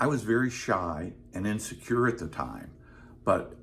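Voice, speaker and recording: A man is speaking. His voice is somewhat breathy. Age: 70s. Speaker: retired comedy writer. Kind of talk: personal storytelling to camera.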